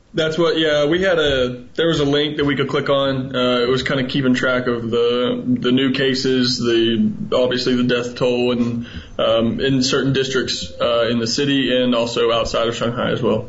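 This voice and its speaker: A man talks with hardly any pauses, fairly even intonation and very even loudness. Audible room echo and noticeable background noise surround him. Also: medium pitch for a man, moderate pace. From Alabama, Huntsville. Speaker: English teacher abroad. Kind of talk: radio interview.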